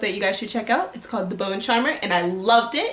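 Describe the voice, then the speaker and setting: A woman speaks in an animated tone at a fairly high pitch. Audible room echo and noticeable background noise surround her voice. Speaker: book youtuber. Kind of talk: casual vlog talk. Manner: fast.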